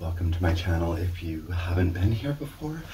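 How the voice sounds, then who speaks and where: The speech comes at a moderate pace, with audible room echo and light background noise. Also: man. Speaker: underwear reviewer. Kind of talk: casual vlog chat. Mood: relaxed, amused. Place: home room. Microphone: camera far.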